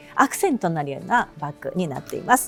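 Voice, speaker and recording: Over music in the background, a woman speaks at medium pitch in a relaxed tone, her pitch swinging very widely. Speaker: freelance announcer and narrator. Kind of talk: casual talk to camera. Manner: relaxed, chatty.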